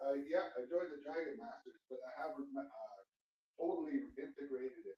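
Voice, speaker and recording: Loudness swings widely as the speaker moves along at a fairly quick pace. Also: man. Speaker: student of spiritual practice. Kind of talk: casual chat. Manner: halting.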